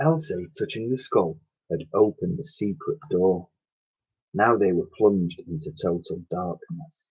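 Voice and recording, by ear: A man's low-pitched voice, husky with a rough edge and slightly mellow in tone, at a fairly slow pace with ordinary pitch variation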